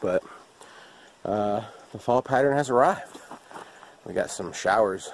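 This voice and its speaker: With ordinary pitch variation and a moderate pace, a man talks in a dry sound with no echo over light background noise. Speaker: outdoor vlogger. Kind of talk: casual vlog chat. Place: open country. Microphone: phone near.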